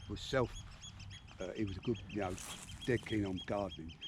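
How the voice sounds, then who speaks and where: Noticeable background noise sits behind a man with a Southeast English accent. He talks at a very fast pace, his fairly low voice showing ordinary pitch variation. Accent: South-East English. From Medway, Kent, England. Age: 80s+. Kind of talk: casual conversation outdoors. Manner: reminiscing.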